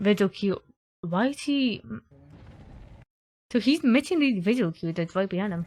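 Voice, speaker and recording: A soft-spoken woman with a medium pitch talks at a moderate pace, somewhat breathy, with lively intonation and long, frequent pauses. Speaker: gaming youtuber. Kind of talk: gameplay commentary.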